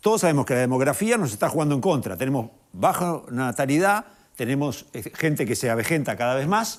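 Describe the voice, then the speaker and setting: Using very wide pitch swings, a man with a fairly high pitch talks at a fairly quick pace. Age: 60s. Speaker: TV panelist. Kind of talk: TV panel debate.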